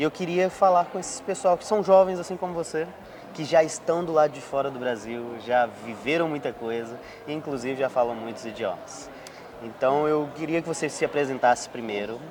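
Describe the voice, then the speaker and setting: This man talks at a moderate pace with a fairly high pitch and lively intonation. His loudness swings widely, and background noise is noticeable. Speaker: podcast host. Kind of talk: casual interview.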